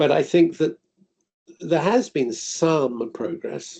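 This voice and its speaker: A man with an English accent. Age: 60s. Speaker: author and parent advocate. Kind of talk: webinar talk. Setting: video call.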